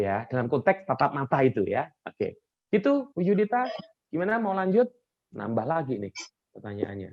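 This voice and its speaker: Very wide pitch swings mark this man's fairly high voice. He talks at a moderate pace. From Java, Indonesia. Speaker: soft skills coach. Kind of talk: online training talk. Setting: video call. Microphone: echo when others unmute.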